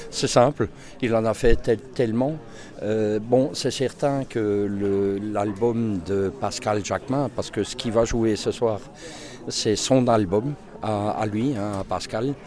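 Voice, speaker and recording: A man speaks very slowly in a fairly low voice with ordinary pitch variation, over noticeable background noise. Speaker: concertgoer. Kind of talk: vox pop interview. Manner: halting.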